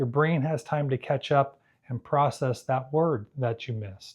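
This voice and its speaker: A somewhat breathy, medium-pitched male voice at a moderate pace, with ordinary pitch variation. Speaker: hearing care provider. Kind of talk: tutorial. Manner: clearly enunciated.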